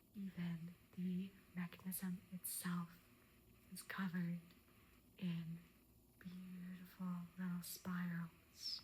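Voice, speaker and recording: Someone soft-spoken talks at a very slow pace, with long pauses coming often. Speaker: antique arms and armor collector, ASMR creator. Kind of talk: ASMR show and tell.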